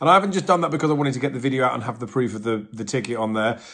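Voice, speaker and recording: A man with an English accent talks at a very fast pace in a medium pitch. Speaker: horse racing tipster. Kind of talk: betting tips video monologue.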